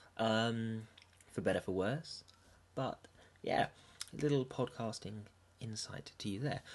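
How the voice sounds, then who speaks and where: Pausing long and often, a man with an English accent speaks fairly slowly at a medium pitch with ordinary pitch variation. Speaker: podcast host.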